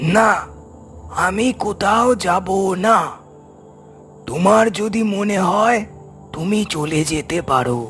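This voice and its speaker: A cartoonish character voice at a very slow pace, with ordinary pitch variation and clear music in the background. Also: man, high pitch for a man. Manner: firm, unyielding.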